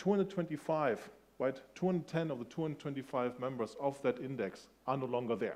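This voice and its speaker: The speech comes at a very fast pace. It carries a German accent. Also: man. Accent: soft German. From Germany. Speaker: industry analyst. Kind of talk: conference keynote talk. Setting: stage with audience. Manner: conversational, engaging with audience.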